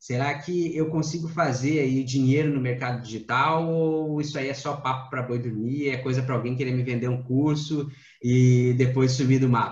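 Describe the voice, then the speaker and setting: A man talks at a moderate pace, somewhat breathy. His pitch is fairly high, with ordinary variation. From Rio Grande do Sul, Brazil. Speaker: podcast host. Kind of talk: casual chat.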